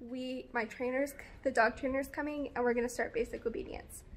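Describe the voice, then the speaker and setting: The speaker is a woman with a high pitch. Her intonation stays fairly even. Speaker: vlogger. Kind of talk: casual vlog chat. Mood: cheerful, amused. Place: garden. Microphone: phone near.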